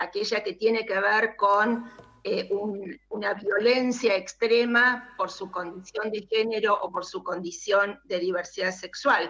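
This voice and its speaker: Speaking at a very slow pace, a woman with fairly high pitch keeps a fairly even intonation. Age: 60s. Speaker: provincial legislator. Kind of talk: parliamentary speech.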